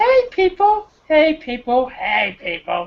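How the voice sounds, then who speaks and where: In a put-on character voice, the speaker uses a high pitch with very wide swings, moving at a fairly slow pace. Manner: put-on cartoon voice.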